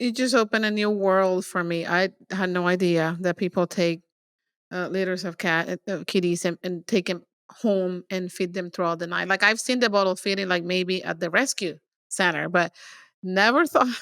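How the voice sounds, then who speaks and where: In a very clean recording with a silent background and a dry, close sound with no echo, a woman speaks at a moderate pace and medium pitch with fairly even intonation. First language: not English. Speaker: podcast host with MS. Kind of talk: casual interview chat.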